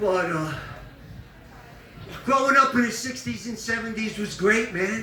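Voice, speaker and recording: With a New York accent, a man speaks very slowly in a raised, projected voice pitched extremely high, with ordinary pitch variation. There is audible room echo along with noticeable background noise. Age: 70s. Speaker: comedian. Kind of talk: stand-up.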